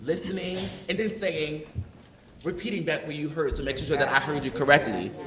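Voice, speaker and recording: A man with a high pitch and an animated tone speaks at a fairly quick pace over noticeable background noise. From US Northeast, North Philadelphia. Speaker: panelist, educator. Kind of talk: panel discussion. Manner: animated, casual.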